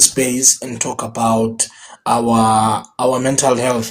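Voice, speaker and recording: At a very slow pace, a man delivers his words. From South Africa, Free State (QwaQwa). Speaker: motivational speaker and MC. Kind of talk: interview. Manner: loud.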